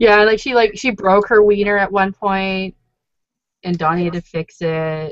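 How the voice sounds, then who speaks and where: A woman speaks in a plain, everyday voice with a Canadian accent. Her pitch is medium, its variation ordinary, and her pace moderate. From Toronto, Canada. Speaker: recap show co-host. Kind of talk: casual chat. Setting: online video call.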